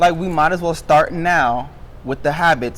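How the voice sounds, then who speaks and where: A man with an animated tone, ordinary pitch variation and a moderate pace. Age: 20s. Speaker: podcast host. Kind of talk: casual chat.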